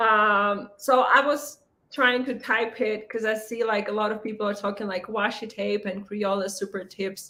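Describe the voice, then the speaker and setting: Speaking with a non-native accent, a woman with a bright, sharp tone and a fairly high pitch talks at a moderate pace with fairly even intonation. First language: not English. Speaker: planner content creator. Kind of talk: casual live stream chat. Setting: livestream.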